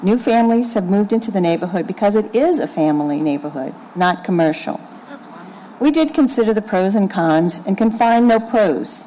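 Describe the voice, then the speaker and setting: Her pitch medium and her loudness very even, a woman speaks over noticeable background noise. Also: lively intonation, moderate pace. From New Orleans, Lakeview. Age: 60s. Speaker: resident speaking at public hearing. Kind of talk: public hearing testimony. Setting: city planning commission hearing.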